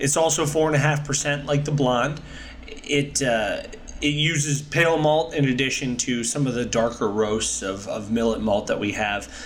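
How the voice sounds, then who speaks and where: Amid noticeable background noise and audible room echo, a man speaks at a fairly slow pace, fairly high in pitch with ordinary pitch variation. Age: 30s. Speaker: gluten-free brewery owner. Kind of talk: casual interview.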